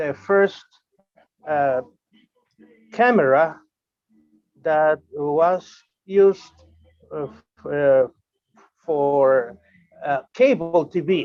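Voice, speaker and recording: Music plays in the background as a man speaks with a Uruguayan accent. His pitch is fairly high and his pace very slow. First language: Spanish. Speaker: amateur radio operator. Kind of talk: online meeting presentation. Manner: halting, many fillers.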